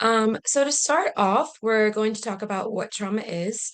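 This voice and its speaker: An ordinary speaking voice from a woman, fairly high in pitch, with ordinary pitch variation. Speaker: policy advocate presenting a training webinar. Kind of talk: webinar presentation. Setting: online video meeting.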